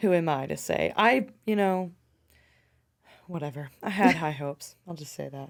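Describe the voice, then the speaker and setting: Using a put-on character voice, a woman speaks raspily at a fairly low pitch and a moderate pace. Her intonation is lively, with big swings in loudness and long, frequent pauses. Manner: weary, resigned.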